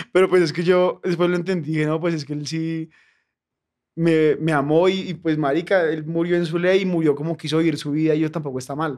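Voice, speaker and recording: Over a quiet background, the speech moves at a fairly quick pace in a monotone, flat intonation. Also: man, fairly high pitch for a man. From Colombia, Bogotá. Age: 20s. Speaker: comedian. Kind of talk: casual chat.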